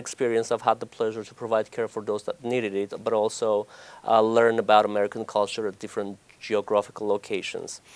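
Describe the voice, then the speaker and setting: Recorded with a dry, close sound and no echo, a man in an Armenian accent speaks with monotone, flat intonation. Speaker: oncology doctor. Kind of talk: TV interview. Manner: hesitant, many fillers.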